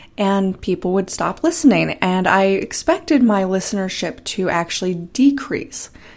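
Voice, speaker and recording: Lively intonation at a fairly slow pace, in a very clean recording with a silent background. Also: woman. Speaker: solo podcaster. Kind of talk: solo monologue podcast. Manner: few filler words, uses so as filler.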